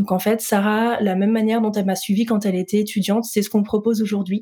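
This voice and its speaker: Her medium-pitched voice stays monotone and flat as this woman talks at a fairly quick pace. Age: 30s. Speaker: entrepreneur in healthy eating coaching. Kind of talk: interview conversation.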